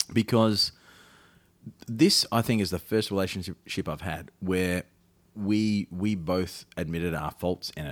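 With an Australian accent, a man talks at a fairly slow pace in a very deep, low pitch, with ordinary pitch variation and long, frequent pauses, on a very clean recording with a silent background and a dry, close sound with no echo. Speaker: podcast host. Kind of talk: casual comedic chat. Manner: joking, self-deprecating.

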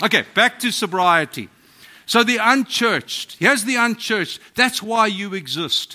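With a non-native accent, a man projects a raised, high-pitched voice with a bright, sharp tone and ordinary pitch variation. His pace is moderate, and the recording is very clean with a silent background. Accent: foreign accent, non-American. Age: 50s. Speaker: pastor. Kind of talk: sermon. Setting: church.

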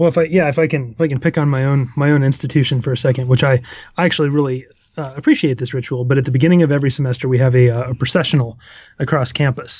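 Words come at a very fast pace in a somewhat breathy voice. The intonation stays fairly even. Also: man, fairly high pitch for a man. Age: 30s. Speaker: academic. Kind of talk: casual chat.

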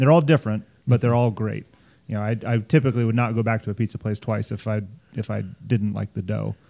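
Very fast speech from a man with an American accent, fairly low in pitch, dark and mellow in tone, with fairly even intonation and a dry, close sound free of echo. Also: very clean recording, silent background. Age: 40s. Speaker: podcast host. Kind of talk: casual interview chat.

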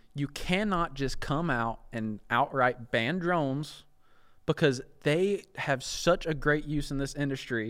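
Speaking slowly-ish at a fairly slow pace, a man with an American accent and a plain, everyday voice sits fairly high in pitch with ordinary pitch variation, in a very clean recording with a silent background. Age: 20s. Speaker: YouTuber and hunter. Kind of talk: casual chat.

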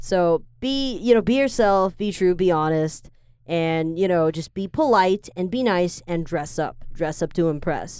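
In a very clean recording with a silent background, a woman speaks with lively intonation at a fairly low pitch. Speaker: podcast host. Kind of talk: casual chat. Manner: fast talker.

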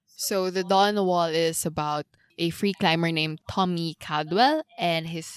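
In a very clean recording with a silent background and a dry, close sound with no echo, a woman with a Filipino accent speaks at a fairly slow pace with ordinary pitch variation. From Philippines. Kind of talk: casual chat.

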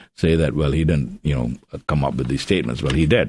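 A man's voice with vocal fry. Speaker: author and biographer. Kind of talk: interview. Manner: halting, many fillers.

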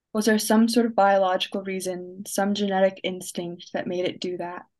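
A woman speaks in an ordinary speaking voice at medium pitch. Her intonation is fairly even over a quiet background. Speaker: young poet and writer, college student. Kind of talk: spoken word poetry reading. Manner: reflective, measured, dry-humored, poetic cadence.

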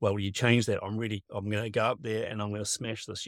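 A man with a New Zealand accent at a medium pitch, in a dry, close recording with no echo. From New Zealand, west Auckland. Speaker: performance trainer. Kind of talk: casual interview chat. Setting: video call from a camper van.

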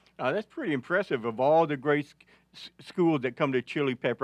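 A man's fairly high voice at a fairly quick pace with an Arkansas accent, dry and close with no echo, against a quiet background. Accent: Arkansas Southern US. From northeast Arkansas. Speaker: veteran sports reporter. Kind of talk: casual sports talk. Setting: studio. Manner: halting.

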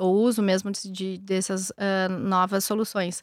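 A woman talks at medium pitch in a strong gaúcho accent. The recording is dry and close, free of echo. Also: very clean recording, silent background. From southern Brazil, Rio Grande do Sul (São Jerônimo). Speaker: venture capital investor. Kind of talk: interview. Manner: calm.

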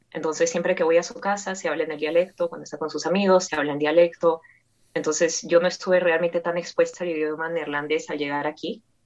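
Very fast in pace, a woman speaks at a fairly low pitch with fairly even intonation. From Peru. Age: 20s. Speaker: polyglot language learner. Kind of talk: interview.

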